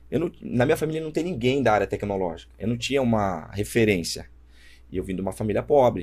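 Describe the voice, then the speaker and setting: A man at a very fast pace and medium pitch, with very wide pitch swings and vocal fry. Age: 20s. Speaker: startup founder. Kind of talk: casual chat.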